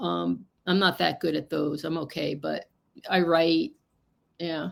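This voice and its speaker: At a fairly slow pace, a woman talks with a New Jersey accent. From New Jersey, US. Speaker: psychic. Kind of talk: casual interview.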